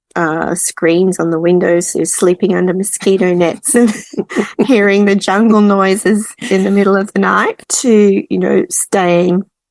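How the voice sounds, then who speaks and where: A woman talks at a fairly slow pace with an Australian accent. Her intonation stays fairly even, and the sound is dry and close with no echo. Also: medium pitch for a woman. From Australia, Melbourne. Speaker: expat traveller. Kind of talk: casual chat.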